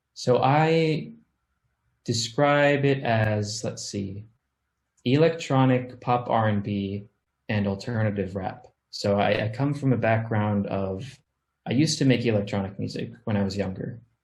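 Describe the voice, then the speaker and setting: A man with an American accent speaks at a fairly slow pace in a somewhat breathy voice of medium pitch with ordinary variation. There is audible room echo. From Missouri, small town (US Midwest/South mix). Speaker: music producer and recording artist. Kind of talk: interview.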